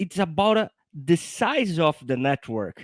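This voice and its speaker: With a non-native accent, a man speaks at a high pitch in a dry, close recording with no echo. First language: not English. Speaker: software engineer. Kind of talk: technical explanation in live show.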